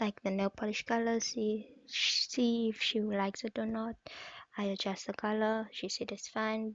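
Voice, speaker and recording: With a non-native accent, a woman speaks fairly slowly at a fairly high pitch in a monotone, flat intonation. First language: not English. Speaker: nail art vlogger. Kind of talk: voiceover narration of tutorial. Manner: halting.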